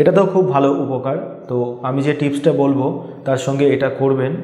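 A man's medium-pitched voice with a dark, mellow tone, ordinary pitch variation and a fairly quick pace, heard in strong room echo.

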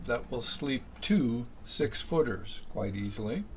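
Light background noise behind a male speaker. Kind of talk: casual tour narration. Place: boat. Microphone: phone near.

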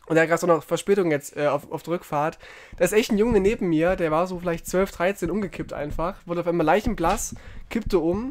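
With a high pitch and ordinary pitch variation, a man talks at a fairly quick pace. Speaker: podcast co-host. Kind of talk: casual chat. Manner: soft-spoken; quieter than co-host.

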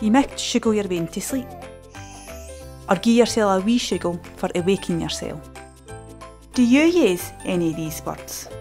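Someone speaks with a West Central Scottish accent, leaving long, frequent pauses. Music plays in the background. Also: woman, moderate pace. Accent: West Central Scots. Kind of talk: educational language explainer.

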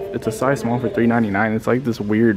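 A man with clear music in the background. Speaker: thrift shopper vlogger. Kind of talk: casual vlog commentary. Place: shop. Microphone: phone near.

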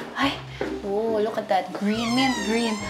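Music comes through clearly behind the speech. The speaker is a woman. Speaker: vlogger. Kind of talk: casual vlog chat. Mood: playful, amused complaining. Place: home room. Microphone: lapel.

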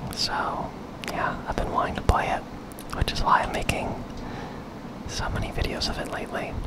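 Long pauses come often within a moderate pace. Loud noise fills the background. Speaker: ASMR gaming content creator. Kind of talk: ASMR gaming commentary, whispered and soft-spoken. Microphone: studio mic.

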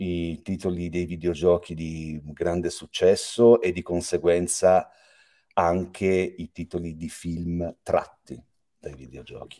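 The man's voice has a dark, mellow tone. The background is quiet. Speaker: voice actor; voice actor interviewee. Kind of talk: interview. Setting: video call. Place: home room.

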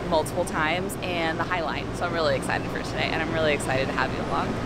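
Talking at a very fast pace, a woman comes through dry and echo-free against loud background noise. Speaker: travel vlogger. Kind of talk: casual vlog chat. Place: garden. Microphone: phone near.

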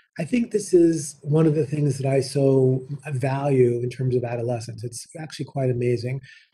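A man speaks at a fairly high pitch with ordinary pitch variation, his voice somewhat breathy and dark and mellow in tone, over a quiet background. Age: 50s. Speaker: nursing professor and dean; nursing professor. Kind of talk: lecture. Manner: fast. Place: office. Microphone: webcam.

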